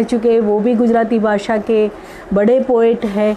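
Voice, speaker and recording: A woman's fairly high voice, with audible room echo and noticeable background noise. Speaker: women's activist, speaker. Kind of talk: online lecture talk. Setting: live online talk. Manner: halting, many fillers.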